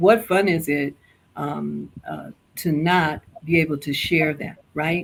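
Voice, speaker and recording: Very slowly, a woman speaks with a very deep, low pitch and vocal fry. Her intonation stays fairly even. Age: 60s. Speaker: lifestyle show guest. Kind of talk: casual interview chat.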